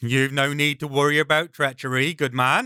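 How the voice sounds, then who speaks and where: Using a put-on character voice, a man speaks at a fairly high pitch. His pace is moderate. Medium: read story. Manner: sneering, threatening.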